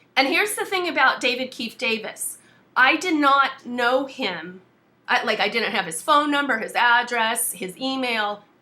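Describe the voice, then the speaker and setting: In a raised, projected voice, a woman speaks at a high pitch with a bright, sharp tone and very wide pitch swings. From US South. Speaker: activist. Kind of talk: casual chat. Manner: blunt.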